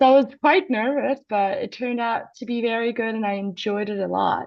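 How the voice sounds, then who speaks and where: This speaker has an Iranian accent and ordinary pitch variation. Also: woman. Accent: Iranian (Persian). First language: Persian. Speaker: astronomy PhD student and co-host. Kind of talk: live broadcast conversation.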